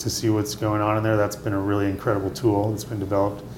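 A man with a fairly low pitch talks with an American accent. Noticeable background noise and audible room echo fill the recording. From US Midwest, Indiana. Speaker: winemaker. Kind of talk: interview. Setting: restaurant.

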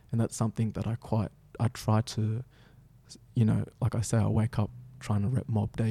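The voice is dark, mellow and somewhat breathy, moving at a fairly quick pace in a flat monotone, with a dry, close sound and no echo. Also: man. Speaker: dancer and storyteller. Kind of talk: casual interview chat.

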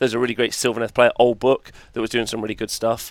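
A man with an English accent speaks at a medium pitch. The recording is very clean with a silent background, dry and close with no echo. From England. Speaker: tabletop wargaming tournament player and commentator. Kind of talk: casual chat. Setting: livestream.

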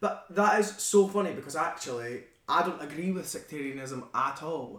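Noticeable background noise sits behind a voice with a Central Belt Scottish accent and lively intonation. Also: man. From Falkirk, Scotland. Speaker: actor. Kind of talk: casual chat. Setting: living room, podcast recording.

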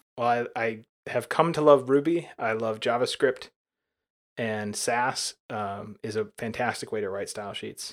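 The man speaks fairly slowly at a medium pitch, with ordinary variation in pitch and big swings in loudness. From US South, Alabama. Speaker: software developer and designer. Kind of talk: interview. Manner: hesitant, many fillers.

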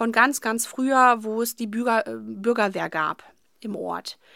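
Bright, sharp tone from a fairly high-pitched woman, on a very clean recording with a silent background. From Germany, Paderborn district (Westphalia). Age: 30s. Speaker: youth education officer. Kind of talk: interview. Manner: hesitant, many fillers.

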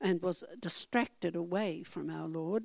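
In an Australian accent, a woman speaks at a medium pitch and a fairly slow pace, her tone dark and mellow. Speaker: church member being baptized. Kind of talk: testimony. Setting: church.

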